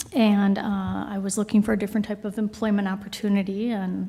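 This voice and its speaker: In a Minnesotan accent, a woman talks at a moderate pace with a medium pitch. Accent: Minnesota. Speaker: new city employee. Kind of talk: self-introduction at council meeting. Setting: city council meeting.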